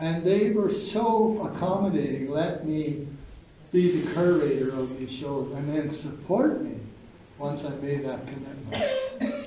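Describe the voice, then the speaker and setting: With a Canadian accent, a man talks fairly slowly at a fairly high pitch and with ordinary pitch variation. Room echo and noticeable background noise can be heard. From Ottawa Valley, Ontario, Canada; Ontario, Canada. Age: 80s+. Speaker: painter. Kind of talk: speech at an event. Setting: gallery reception with audience. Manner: halting. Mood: warm, grateful. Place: hall. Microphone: camera far.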